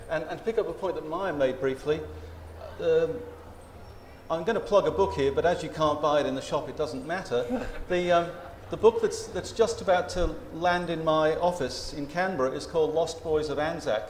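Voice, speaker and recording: Speaking in an Australian accent, a man talks at a moderate pace with a high pitch and ordinary pitch variation. Audible room echo and light background noise are present. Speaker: historian; panelist. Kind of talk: panel discussion. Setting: stage with audience. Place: tent.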